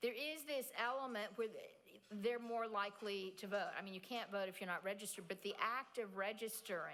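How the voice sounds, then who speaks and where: Her pace is moderate and her pitch variation ordinary. The woman has an ordinary speaking voice. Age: 60s. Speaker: nonprofit president and keynote speaker. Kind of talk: audience Q&A. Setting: stage with audience.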